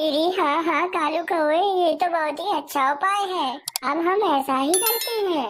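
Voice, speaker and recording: A woman puts on a squeaky character voice with extremely high pitch. Her loudness stays very even and her pace is moderate. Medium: cartoon. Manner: resentful, easily persuaded.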